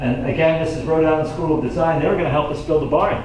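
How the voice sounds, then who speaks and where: A man with an American accent talks at a very fast pace over noticeable background noise, with audible room echo. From rural New York, Hillburn area. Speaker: environmental activist and local speaker. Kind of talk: slide-show talk to audience. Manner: animated.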